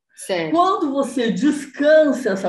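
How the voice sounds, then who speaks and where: The speech moves at a very slow pace. The voice is somewhat breathy. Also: woman. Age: 60s. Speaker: body movement teacher. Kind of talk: interview.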